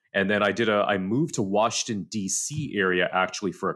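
The speaker talks at a moderate pace in an American accent with ordinary pitch variation. The recording is very clean, with a silent background. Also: man. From Southern California. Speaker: tech sales director. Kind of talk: casual interview.

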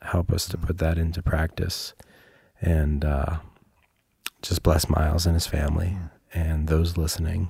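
In a very deep, low voice with a dark, mellow, somewhat breathy tone, a man speaks at a fairly slow pace with monotone, flat intonation and long, frequent pauses. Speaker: podcast co-host. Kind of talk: casual chat. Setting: studio.

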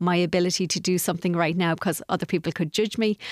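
A woman with an Irish accent speaks at a fairly low pitch. The recording is very clean with a silent background, and the sound is dry and close with no echo. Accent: Irish (Galway). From Ireland, Galway. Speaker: life coach. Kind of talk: radio interview. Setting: radio studio.

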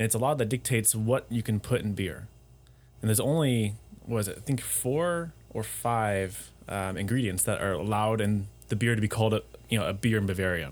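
In a normal speaking voice, a man talks at a fairly quick pace with a fairly low pitch and ordinary pitch variation. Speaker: expat living in Germany. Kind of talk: casual chat.

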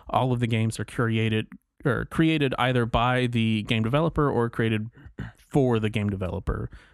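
Keeping a very even loudness and fairly even intonation, a man with a normal speaking voice at medium pitch talks at a fairly quick pace. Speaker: podcast host. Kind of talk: casual chat.

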